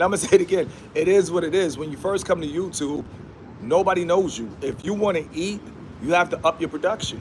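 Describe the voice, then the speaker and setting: A man speaks at a very fast pace with a high pitch. His pitch varies in an ordinary way over noticeable background noise. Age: 30s. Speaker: YouTube livestreamer. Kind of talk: casual livestream monologue. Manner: animated.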